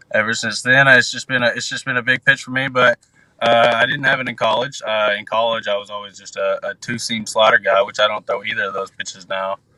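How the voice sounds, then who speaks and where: In an American accent, a man speaks at a fairly quick pace with big swings in loudness, the sound dry and close with no echo. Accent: Southern twang, stronger after time at home. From US South (Arkansas). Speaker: professional baseball pitcher prospect. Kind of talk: interview. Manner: halting, many fillers.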